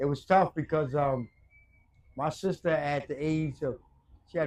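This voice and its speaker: Speaking with a New York accent, a man keeps a moderate pace and fairly even intonation. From Brooklyn, New York. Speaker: former addict sharing life story. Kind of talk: interview. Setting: outdoors in a park.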